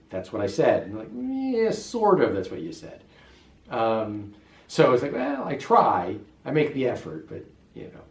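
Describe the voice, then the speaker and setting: With an American accent, a man speaks at a moderate pace amid audible room echo and noticeable background noise. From US West, Las Vegas. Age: 50s. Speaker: expat interviewee. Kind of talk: interview. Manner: hesitant, many fillers.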